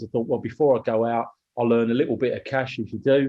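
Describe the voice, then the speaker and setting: A medium-pitched male voice in a British accent with flat, monotone intonation. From Kent, southeast England. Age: 50s. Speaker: business owner. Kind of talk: interview.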